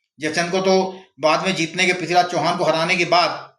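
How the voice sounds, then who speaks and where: A man speaks at a moderate pace with a high pitch and fairly even intonation. Audible room echo surrounds his voice. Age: 60s. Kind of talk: opinion monologue. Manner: impassioned.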